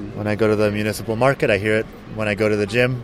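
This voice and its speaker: The speech comes at a very fast pace with fairly even intonation, and noticeable background noise is present. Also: man. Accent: American. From US, Phoenix, Arizona. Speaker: writer, blogger and English teacher. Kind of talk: interview. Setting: outdoors in a city square.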